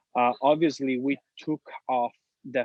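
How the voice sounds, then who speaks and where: A man with an Italian accent, medium pitch, fairly even intonation and a fairly slow pace. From Sicily, Italy. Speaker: real estate agent. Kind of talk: podcast interview.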